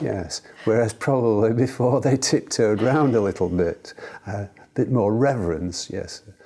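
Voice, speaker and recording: The speech moves at a fairly slow pace with ordinary pitch variation. Noticeable background noise runs under it. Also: man, medium pitch for a man. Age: 70s. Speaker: cancer patient on a clinical trial. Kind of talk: interview. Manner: halting.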